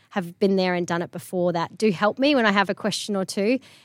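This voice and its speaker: A woman speaks very fast with ordinary pitch variation. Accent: Australian. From Queensland, Australia (Charters Towers). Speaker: real estate agency principal. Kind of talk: interview.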